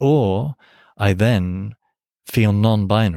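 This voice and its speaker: A man with an English accent speaks at fairly low pitch with ordinary pitch variation. The recording is very clean, with a silent background. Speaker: priest and seminary professor. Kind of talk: academic interview discussion.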